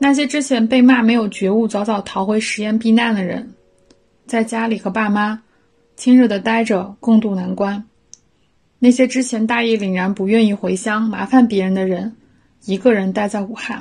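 Her voice is somewhat breathy, with a fairly high pitch and fairly even intonation from this woman. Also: moderate pace. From Hubei, Shiyan. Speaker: podcast host. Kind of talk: personal essay read aloud. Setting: at home on balcony.

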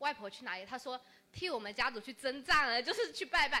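A woman with a Fujian accent speaks at a fairly quick pace. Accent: regional Fujian. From Changle, Fujian. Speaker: audience member. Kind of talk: storytelling.

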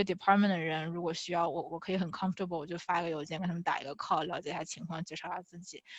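Over a quiet background, a woman with a fairly low pitch talks at a very fast pace with hardly any pauses and big swings in loudness. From China. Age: 20s. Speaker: finance and tech product manager. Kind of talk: interview Q&A.

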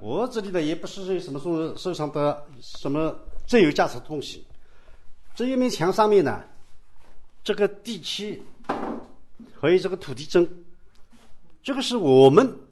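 A high-pitched man speaks at a fairly slow pace, with very wide pitch swings and long, frequent pauses. Noticeable background noise runs underneath. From Yangshan, Wuxi, Jiangsu. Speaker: local historian and tour guide. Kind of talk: guided walking tour. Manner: halting, many fillers.

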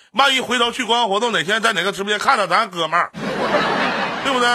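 Noticeable background noise surrounds a man with a high-pitched, raised and projected voice. His pitch varies in an ordinary way. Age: 30s. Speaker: live-stream radio host. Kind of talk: call-in advice show. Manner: fast.

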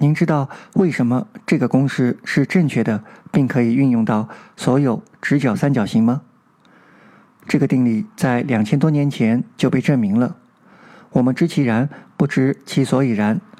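A man with a medium-pitched voice and a dark, mellow tone speaks at a moderate pace, keeping his loudness very even. He uses ordinary pitch variation and leaves long, frequent pauses. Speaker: amateur audiobook narrator and channel host. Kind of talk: scripted monologue to listeners.

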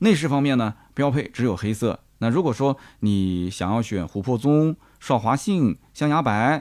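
In a very clean recording with a silent background, a man speaks with a Nanjing accent. His intonation is lively and his pace moderate. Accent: Nanjing-accented Mandarin. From Nanjing, China. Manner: conversational, chatty.

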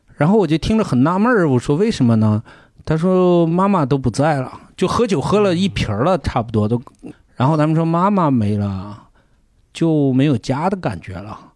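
A very clean recording with a silent background, with very wide pitch swings at a moderate pace. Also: man, fairly high pitch for a man. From Gansu, northwest China. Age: 40s. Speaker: podcast guest. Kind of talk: casual chat.

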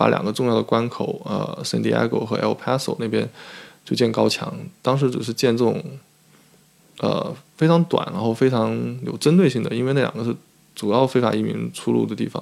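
A man talks fairly quickly but stops often for long pauses. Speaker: PhD student and immigration researcher. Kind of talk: interview. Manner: frequent fillers and hesitations.

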